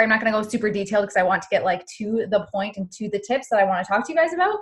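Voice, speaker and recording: The speaker has a Canadian accent, lively intonation and a somewhat breathy sound. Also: woman. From Canada. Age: 20s. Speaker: fitness coach. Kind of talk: team call talk.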